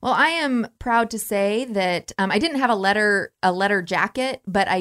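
In a Midwestern American accent, a woman speaks fairly slowly at medium pitch with lively intonation. The recording is very clean, with a silent background and a dry, close sound with no echo. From Nebraska, Norfolk. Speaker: Lutheran minister. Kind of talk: casual chat.

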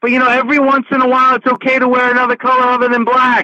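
In a raised, projected voice of extremely high pitch, a man speaks with a dry, close sound and no echo. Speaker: wrestling radio host. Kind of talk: interview. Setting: remote call.

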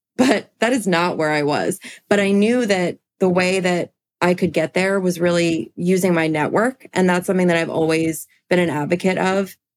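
A woman speaks in a plain, everyday voice with an American accent, fairly low in pitch with ordinary pitch variation. Her pace is moderate and her loudness very even. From US, small town. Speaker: event planner. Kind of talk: casual chat.

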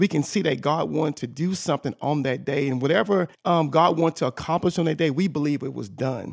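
On a very clean recording with a silent background and a dry, close sound with no echo, a man with a fairly high pitch and vocal fry talks at a very fast pace with hardly any pauses and ordinary pitch variation. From Louisiana. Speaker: pastor. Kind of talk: casual interview.

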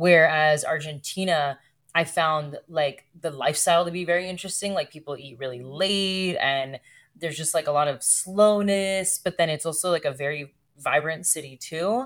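A woman with an American accent uses an ordinary speaking voice, fairly low in pitch, with ordinary pitch variation and big swings in loudness. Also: moderate pace. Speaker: podcast host and podcast strategist. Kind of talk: casual interview chat.

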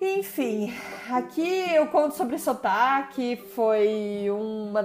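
Noticeable background noise sits behind a woman whose intonation is lively. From Brazil. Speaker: podcast host. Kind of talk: personal storytelling monologue.

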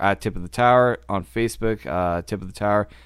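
In a very clean recording with a silent background, a man with a normal speaking voice talks at a fairly low pitch and a moderate pace, with ordinary pitch variation. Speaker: podcast host. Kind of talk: casual hockey podcast chat.

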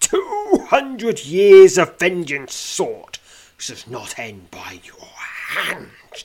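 Croaky and raspy, a man's put-on character voice crawls at a very slow pace with a high pitch. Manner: menacing.

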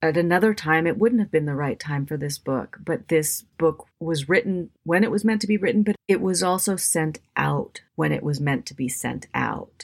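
A woman with an American accent talks in a normal speaking voice at a fairly low pitch, with lively intonation. Her pace is moderate, with hardly any pauses. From US Pacific Northwest, Washington State. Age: 50s. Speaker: novelist, former bookseller. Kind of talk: interview.

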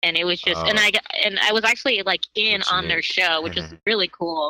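A woman at a moderate pace with a fairly low pitch, a bright, sharp tone and vocal fry. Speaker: beginning stand-up comedian, podcast guest. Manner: casual, conversational.

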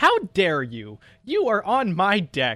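In a put-on character voice, a man speaks at a fairly slow pace and a high pitch, captured in a very clean recording with a silent background. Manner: stern, chastising.

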